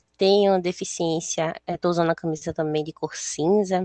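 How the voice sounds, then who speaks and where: A woman's medium-pitched voice with fairly even intonation, dry and close with no echo. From Brazil, Recife (Northeast). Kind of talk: panel talk at online career fair.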